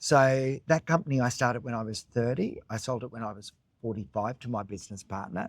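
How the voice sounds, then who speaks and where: A man in an Australian accent talks with big swings in loudness. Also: medium pitch for a man, ordinary pitch variation, fairly quick pace. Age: 60s. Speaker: choreographer and cookie business owner. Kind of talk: casual interview chat.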